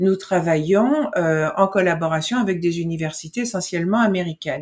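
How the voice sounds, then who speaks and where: A woman with lively intonation, over a quiet background. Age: 60s. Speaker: foundation director. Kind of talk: interview. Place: home room.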